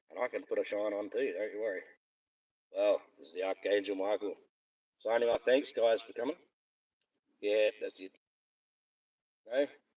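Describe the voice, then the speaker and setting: Recorded dry and close with no echo, a speaker with an Australian accent goes at a moderate pace, with big swings in loudness and long, frequent pauses. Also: man. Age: 50s. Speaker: live streamer. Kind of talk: casual chat. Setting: in a car.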